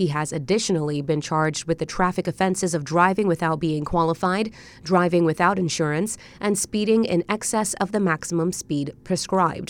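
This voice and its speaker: The delivery comes at a fairly quick pace with ordinary pitch variation. It is an unremarkable speaking voice. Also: woman, fairly low pitch for a woman. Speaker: radio newsreader. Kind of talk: scripted evening news bulletin read in a brisk, even, formal broadcast cadence. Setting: studio. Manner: formal; measured and steady.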